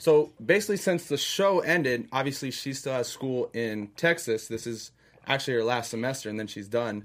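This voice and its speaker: In a very clean recording with a silent background, a man with an American accent and a plain, everyday voice talks at a moderate pace and medium pitch, with lively intonation. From Orlando, Florida. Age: 20s. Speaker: reality TV contestant. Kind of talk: casual chat.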